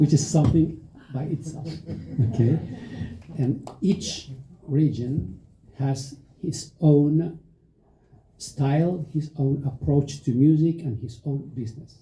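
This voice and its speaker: In a dark, mellow, somewhat breathy tone with a Spanish accent, a man at a fairly high pitch speaks at a very slow pace with long, frequent pauses. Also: fairly even intonation. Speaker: music festival director and agent. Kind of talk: panel discussion. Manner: halting, many fillers.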